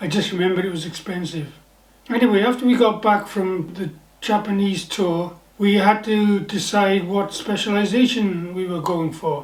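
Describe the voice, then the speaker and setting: With a Welsh accent, a man talks at a moderate pace in a high pitch and fairly even intonation, with noticeable background noise and audible room echo. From Wales, the Valleys near Pontypridd. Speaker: novelist, former naval officer. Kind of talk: personal storytelling monologue.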